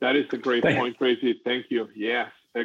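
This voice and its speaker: With an ordinary speaking voice, a man of medium pitch speaks at a fairly quick pace. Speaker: podcast host. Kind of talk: casual interview.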